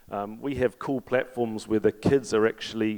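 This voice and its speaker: A man speaks in a New Zealand accent at a medium pitch. His delivery is monotone and flat, and the sound is dry and close with no echo. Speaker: fintech executive, panelist. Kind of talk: panel discussion. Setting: stage with audience.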